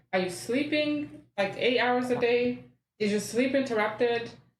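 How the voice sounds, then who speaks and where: With audible room echo, a woman speaks at a moderate pace using lively intonation. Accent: Rwandan. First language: Kinyarwanda. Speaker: mental health worker. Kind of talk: podcast interview.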